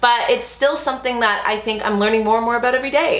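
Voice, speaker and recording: A woman talks very fast, with audible room echo and noticeable background noise around her. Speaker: lifestyle vlogger. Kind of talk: casual chat. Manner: loud; animated.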